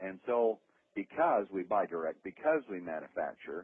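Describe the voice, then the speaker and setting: An enthusiastic man with a fairly low pitch and very wide pitch swings. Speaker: company founder presenting products. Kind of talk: sales pitch on a conference call. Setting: phone conference call. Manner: fast; enthusiastic, with many fillers.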